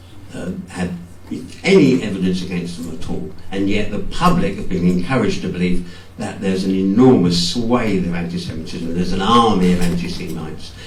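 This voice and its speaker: A man speaks at a very deep, low pitch and a fairly quick pace, with fairly even intonation. Noticeable background noise and audible room echo surround him. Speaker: book author. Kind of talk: talk at a book launch. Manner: fast; halting, many repetitions.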